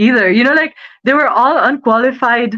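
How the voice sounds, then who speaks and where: This woman has a fairly high pitch. Her pace is moderate. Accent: Nepali. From Nepal. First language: Nepali. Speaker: student and model. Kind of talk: interview. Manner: animated.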